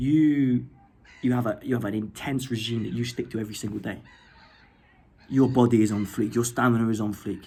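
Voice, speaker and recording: A dark, mellow tone colors the voice. It also sounds somewhat breathy. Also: man. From England. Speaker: YouTuber. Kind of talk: rant. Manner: animated; halting.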